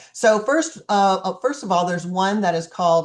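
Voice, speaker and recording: The background is quiet as a woman speaks at a fairly quick pace. She has a normal speaking voice at medium pitch, with ordinary pitch variation. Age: 60s. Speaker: life coach. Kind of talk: online group coaching class. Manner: casual, chatty.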